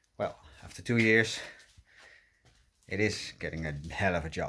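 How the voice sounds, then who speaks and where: With a Dutch accent, a man talks at a fairly slow pace and fairly low pitch with ordinary pitch variation, on a very clean recording with a silent background. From Netherlands. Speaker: car restoration vlogger. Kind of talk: casual vlog walkthrough. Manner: hesitant, many fillers.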